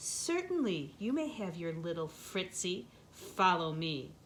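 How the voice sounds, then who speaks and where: In a put-on, growling character voice with lively intonation, a woman speaks at a medium pitch and a fairly slow pace over clear background noise. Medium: read story. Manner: theatrical, menacing.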